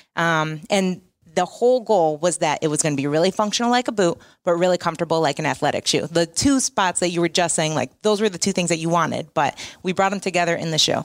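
A woman's plain, everyday voice with an American accent, fairly low in pitch with ordinary pitch variation, at a fairly quick pace on a very clean recording with a silent background. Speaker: footwear company representative. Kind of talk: casual interview. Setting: trade event.

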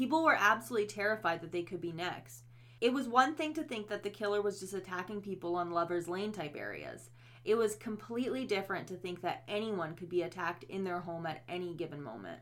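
Very fast speech from a woman at medium pitch, with vocal fry and very wide pitch swings. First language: not English. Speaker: true crime podcast co-host. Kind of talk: scripted narration.

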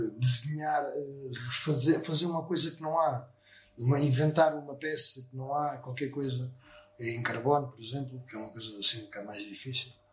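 Amid noticeable background noise, a man talks at a moderate pace with ordinary pitch variation and big swings in loudness. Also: fairly high pitch for a man. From Portugal, Sesimbra. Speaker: motorcycle painter and business owner. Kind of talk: casual interview. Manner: halting, many fillers.

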